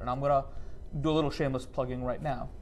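A man with an American accent and vocal fry, at a very fast pace. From New York. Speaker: professor. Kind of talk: panel conversation.

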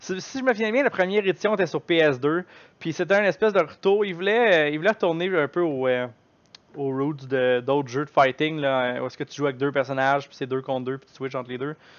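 Talking at a fairly quick pace, a man uses lively intonation at a fairly high pitch, with big swings in loudness. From Quebec. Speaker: gaming streamer. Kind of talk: live stream chat. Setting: live stream. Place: home room. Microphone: headset.

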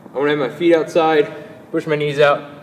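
Light background noise sits behind a man speaking. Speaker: fitness trainer. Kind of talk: tutorial. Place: gym.

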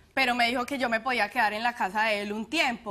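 A woman with an Antioquian accent talks very fast in a high pitch, with a bright, sharp tone and ordinary pitch variation. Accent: Colombian paisa Spanish. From Colombia, Medellín. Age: young. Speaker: plaintiff on a TV courtroom show. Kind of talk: courtroom testimony. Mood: earnest, somewhat aggrieved. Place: studio. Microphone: lapel.

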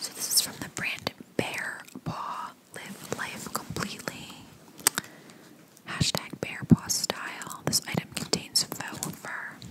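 A soft-spoken woman whispering at a very slow pace, with long, frequent pauses, big swings in loudness and noticeable background noise. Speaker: ASMR creator. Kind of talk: soft-spoken ASMR unboxing chat. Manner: soft whisper reading product labels. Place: home room. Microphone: studio mic.

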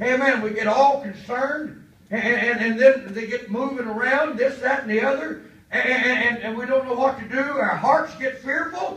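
With audible room echo, a man with an extremely high voice talks at a moderate pace. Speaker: pastor; preacher. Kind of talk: sermon. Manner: animated. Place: church.

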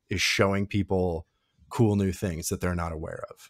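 A man's voice at a moderate pace, with a dry sound and no echo. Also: quiet background. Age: 40s. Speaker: podcast co-host. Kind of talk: casual chat. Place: home room.

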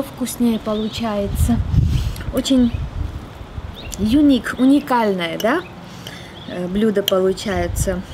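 A woman speaks slowly at a medium pitch with a dark, mellow tone and ordinary pitch variation. Her long, frequent pauses sit over faint background noise.

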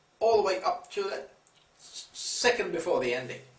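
A man at a fairly slow pace, with audible room echo. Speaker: chocolate reviewer. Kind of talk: casual review chat. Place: home room. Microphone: camera far.

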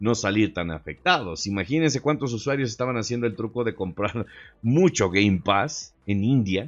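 With a Mexican accent, a man talks at a moderate pace and his pitch varies in an ordinary way. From Mexico. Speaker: gaming YouTuber; gaming youtuber. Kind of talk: casual video commentary. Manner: animated. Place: home room. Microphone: studio mic.

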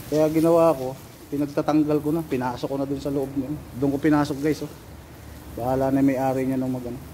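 A man talks at a very fast pace with a fairly high pitch and monotone, flat intonation. His tone is dark and mellow, with light background noise. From Philippines (Bicol). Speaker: overseas worker vlogger, driver in Saudi Arabia. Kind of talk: casual vlog. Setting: outdoors, garden. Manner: casual, laughs often. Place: garden. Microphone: phone near.

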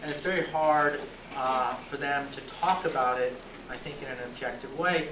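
A man with an American accent at a fairly high pitch and moderate pace, over noticeable background noise. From US South. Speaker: law professor. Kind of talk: lecture. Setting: stage with audience. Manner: conversational, frequent 'right?' tags. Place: classroom. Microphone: handheld.

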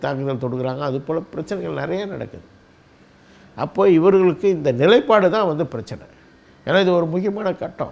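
A man is speaking here. His pitch is high and his intonation lively. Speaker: political party leader. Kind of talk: political commentary monologue. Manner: halting, frequent pauses and fillers.

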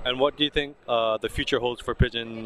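A man's voice comes through with a dry sound and no echo, over light background noise. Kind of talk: interviewer questions. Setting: outdoors. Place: street.

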